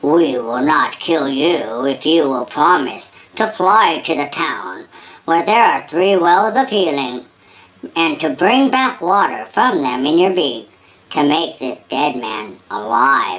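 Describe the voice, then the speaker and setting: A woman's put-on character voice, fairly low in pitch, at a fairly slow pace. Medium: read story.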